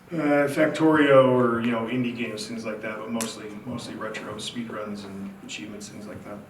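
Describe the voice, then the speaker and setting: Room echo and noticeable background noise surround a man who speaks at a medium pitch with fairly even intonation. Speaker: Twitch streamer. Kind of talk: convention panel talk. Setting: stage with audience. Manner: speaking quietly. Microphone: far from the mic.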